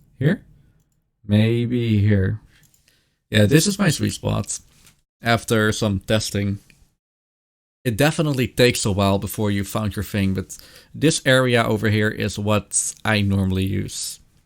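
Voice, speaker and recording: A man's fairly low voice at a fairly slow pace, with ordinary pitch variation, long, frequent pauses and a very clean recording with a silent background. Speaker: streamer. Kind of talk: tutorial. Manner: casual.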